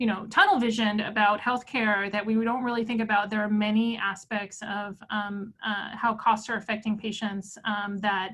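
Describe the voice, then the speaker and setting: Noticeable background noise behind a woman's fairly high, monotone, flat voice with hardly any pauses. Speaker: physician and cancer researcher. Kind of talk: webinar lecture and Q&A. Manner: fast.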